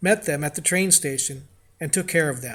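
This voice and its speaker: A man with an American accent and ordinary pitch variation, on a very clean recording with a silent background. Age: 80s+. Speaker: war veteran. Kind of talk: reading aloud.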